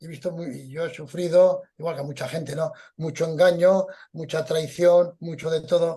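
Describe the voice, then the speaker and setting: Moderate pace from a man, high in pitch and dark, mellow in tone. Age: 70s. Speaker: veteran journalist and crime historian. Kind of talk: interview.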